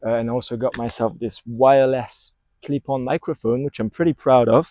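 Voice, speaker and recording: A man with a French accent speaks at a moderate pace and medium pitch, using a dark, mellow tone and fairly even intonation. The sound is dry and close with no echo, over a quiet background. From France. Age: 20s. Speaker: vlogger. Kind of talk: casual vlog monologue. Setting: outdoors in a park. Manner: halting, many fillers. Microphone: wireless clip-on mic on phone.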